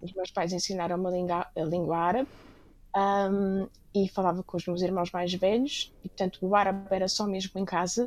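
This woman has a normal speaking voice at a medium pitch. Her intonation is fairly even. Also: moderate pace. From Lisbon, Portugal. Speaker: restaurateur and book editor. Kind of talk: interview conversation.

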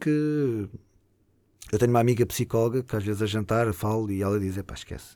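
This man has a European Portuguese accent and a dark, mellow tone at medium pitch. His loudness swings widely on a very clean recording with a silent background. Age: 40s. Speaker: show producer. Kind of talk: casual interview.

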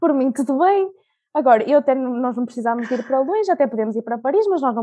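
A woman's very fast speech in a European Portuguese accent, dark and mellow in tone, with lively intonation. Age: 20s. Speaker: podcast guest, law graduate and traveller. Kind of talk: casual interview. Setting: at home, remote recording.

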